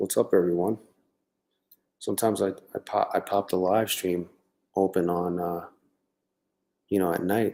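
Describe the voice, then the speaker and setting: A man speaks quietly in a very deep, low pitch with a dark, mellow tone. His pace is moderate and his intonation monotone and flat. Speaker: livestreaming day trader. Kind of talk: live stream commentary. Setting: home at night, live stream. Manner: talking quietly; casual, halting.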